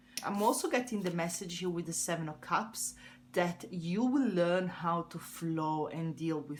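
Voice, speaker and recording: A woman with an Italian accent speaks in a fairly low, somewhat breathy voice with lively intonation. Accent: Italian accent, noticeable. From Italy. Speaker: tarot reader. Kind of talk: tarot reading. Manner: hesitant, with fillers.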